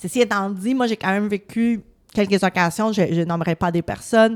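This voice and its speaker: Speech at a moderate pace shows ordinary pitch variation in a dry, close sound with no echo. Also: woman. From Latin America. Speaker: politician. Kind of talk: casual interview.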